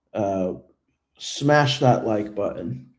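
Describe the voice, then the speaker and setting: Audible room echo surrounds the voice. The pace is very slow. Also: man. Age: 30s. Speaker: YouTuber who trolls political events. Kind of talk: livestream Q&A chat. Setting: livestream. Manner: halting, many fillers and repeats.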